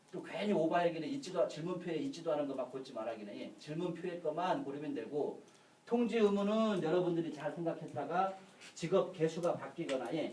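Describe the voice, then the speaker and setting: Noticeable background noise and audible room echo surround a man's voice. He sounds high-pitched, talking at a fairly quick pace with lively intonation. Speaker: insurance lecturer. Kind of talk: lecture. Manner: fast.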